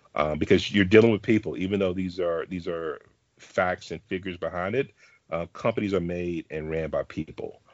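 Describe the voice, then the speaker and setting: Talking at a fairly quick pace with fairly even intonation, the speaker has an American accent. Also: man, very deep, low pitch for a man. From Dallas, Texas. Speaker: venture capitalist. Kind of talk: interview.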